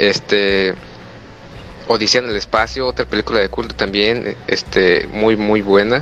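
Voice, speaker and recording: Fairly slow speech with a Mexican accent amid noticeable background noise. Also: man, ordinary pitch variation. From Mexico, Huetamo, Michoacán. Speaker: university student. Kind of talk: casual chat. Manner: halting.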